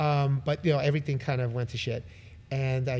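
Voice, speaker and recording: A man speaks in a medium pitch with an American accent. His voice is somewhat breathy, with fairly even intonation. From New York (Brooklyn). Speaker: musician. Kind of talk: casual interview. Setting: live podcast venue.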